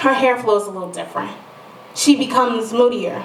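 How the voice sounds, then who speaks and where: With noticeable background noise, a woman with an American accent talks at a moderate pace in a high pitch with ordinary pitch variation. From Detroit. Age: young. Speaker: spoken word poet. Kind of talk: poetry slam performance. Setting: live stage with audience.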